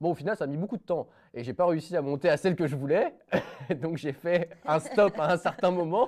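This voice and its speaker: A high-pitched man at a moderate pace, ordinary pitch variation, and a quiet background. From France, Isère near Savoie. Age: 20s. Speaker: young entrepreneur, former truck driver. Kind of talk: podcast interview. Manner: casual, hesitant with many fillers.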